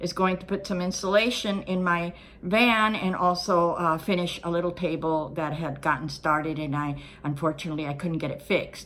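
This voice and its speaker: Her American accent comes through in a bright, sharp tone at a medium pitch. The woman keeps a moderate pace and fairly even intonation. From California, Los Angeles. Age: 60s. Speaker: retired van-life vlogger. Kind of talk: casual vlog talk to camera. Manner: hesitant, with filler words.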